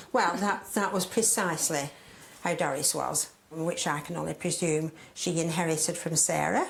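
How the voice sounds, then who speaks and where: With a Lancashire accent, a woman talks at a moderate pace in a fairly low pitch with ordinary pitch variation, over noticeable background noise. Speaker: guest's mother. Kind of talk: casual family chat. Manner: lively.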